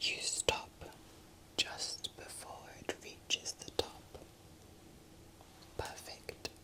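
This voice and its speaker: Someone whispers very slowly with long, frequent pauses while noticeable background noise plays. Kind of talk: whispered ASMR sleep story, Christmas storytime. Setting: close-mic ASMR recording, best with headphones. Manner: whispered, slow, calming.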